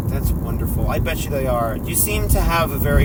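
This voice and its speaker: Moderate pace with noticeable background noise. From Florida, Clearwater. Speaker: podcast host. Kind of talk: casual chat.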